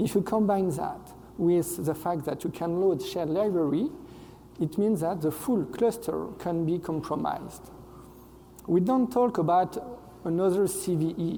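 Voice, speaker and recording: This man has a French accent and a high pitch. He speaks at a moderate pace with ordinary pitch variation. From France. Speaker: software engineer, conference speaker. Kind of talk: conference talk. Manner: hesitant, frequent fillers.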